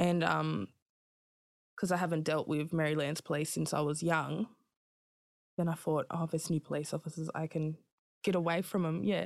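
A woman with an Australian accent speaks at a moderate pace with a very deep, low pitch, vocal fry and fairly even intonation. Her loudness is very even, she takes long, frequent pauses, and the recording is very clean with a silent background. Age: 20s. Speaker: rapper and artist sharing her story of prison birth. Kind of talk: interview, personal testimony. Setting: in-person studio interview. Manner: soft-spoken, polite.

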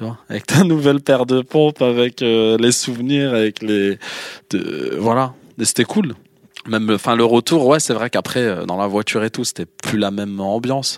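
At a moderate pace, a man with an unremarkable speaking voice talks in a medium pitch with ordinary pitch variation in a dry, close sound with no echo. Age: 40s. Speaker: interviewee. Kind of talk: personal testimony.

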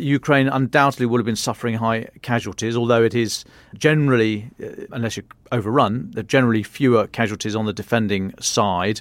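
The recording is very clean, with a silent background. A man with an unremarkable speaking voice talks fairly quickly at a medium pitch with fairly even intonation. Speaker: defence journalist. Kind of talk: news briefing.

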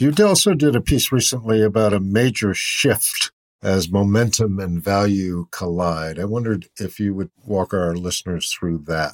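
An unremarkable speaking voice from a man, fairly low in pitch with ordinary pitch variation, dry and close with no echo. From Boston, US. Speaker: podcast host and newsletter writer. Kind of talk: interview.

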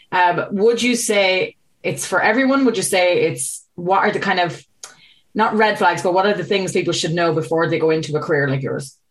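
Here a woman speaks with an Irish accent at a moderate pace. Her pitch is medium, with ordinary variation. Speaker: podcast host. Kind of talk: casual interview chat. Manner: chatty, upbeat.

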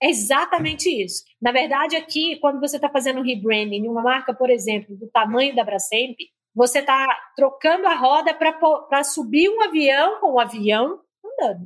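A woman with a strong Minas Gerais accent speaks at a high pitch. Her intonation is lively and her pace moderate. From Minas Gerais, Brazil. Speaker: marketing executive. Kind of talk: interview.

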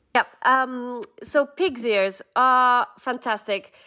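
High-pitched and bright, a woman's sharp-toned voice moves with lively intonation. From southern Ukraine. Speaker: cookbook author. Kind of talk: interview.

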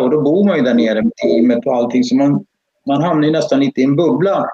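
This man has a fairly high pitch. He speaks at a very fast pace. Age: 60s. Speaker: karting parent. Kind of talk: live-streamed interview.

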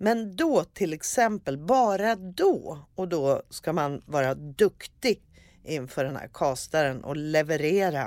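Very wide pitch swings at a fairly slow pace, on a very clean recording with a silent background. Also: woman. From Sweden, Örebro. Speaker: actress and comedian. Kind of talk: casual chat. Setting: studio. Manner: animated.

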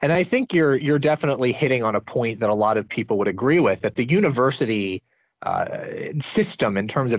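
A man's plain, everyday voice with lively intonation. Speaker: podcast host. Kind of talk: interview.

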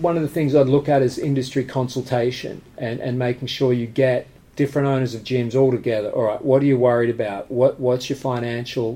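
A man with an Australian accent talks at a fairly quick pace in a medium pitch with monotone, flat intonation. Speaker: martial arts gym owner. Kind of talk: casual interview. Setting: at the gym.

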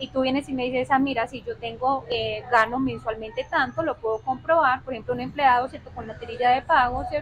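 A woman talks at a fairly quick pace with hardly any pauses and a high pitch. Her pitch varies in an ordinary way, her loudness swings widely, and there is noticeable background noise. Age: 20s. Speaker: lawyer and economist. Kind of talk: interview. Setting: on location in Medellín.

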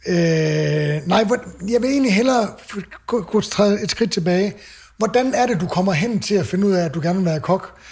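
At a moderate pace, the delivery shows ordinary pitch variation. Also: man, high pitch for a man. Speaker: podcast host and chef. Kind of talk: casual chat.

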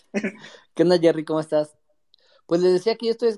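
A dry, close sound with no echo and lively intonation. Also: man. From Metepec, State of Mexico. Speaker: listener in reading circle. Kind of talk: casual chat.

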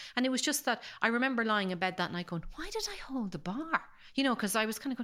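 The woman talks at a very fast pace. Her high-pitched voice has very wide pitch swings. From Ireland, Carlow (Midlands). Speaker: engineer, scientist and science communicator. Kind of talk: casual interview chat. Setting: studio.

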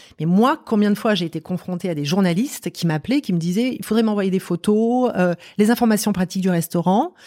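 On a very clean recording with a silent background, a woman with a dark, mellow tone speaks at a very fast pace with lively intonation. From France, Marseille. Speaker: company director. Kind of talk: interview conversation.

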